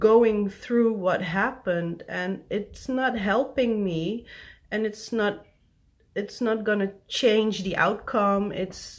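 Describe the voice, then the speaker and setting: A woman with a non-native accent speaks at a very slow pace with ordinary pitch variation. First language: not English. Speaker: vlogger. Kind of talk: personal vlog confession. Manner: halting.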